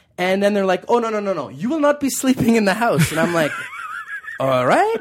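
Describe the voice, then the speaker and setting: A man with a high pitch, an animated tone and lively intonation, over noticeable background noise. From Calgary, western Canada. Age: 30s. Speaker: comedian. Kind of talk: casual chat.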